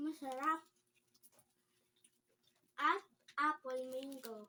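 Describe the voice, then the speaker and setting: At a very slow pace, a woman projects a raised, high-pitched voice with a bright, sharp tone and fairly even intonation. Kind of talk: infomercial product read.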